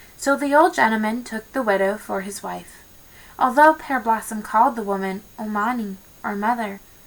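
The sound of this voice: With ordinary pitch variation, the reading voice sounds unforced.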